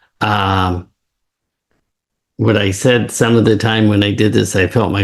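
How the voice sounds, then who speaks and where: In a very clean recording with a silent background, a man speaks at a fairly low pitch and a fairly slow pace, somewhat breathy and in a monotone, flat intonation. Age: 70s. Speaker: neuroscience professor. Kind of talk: interview.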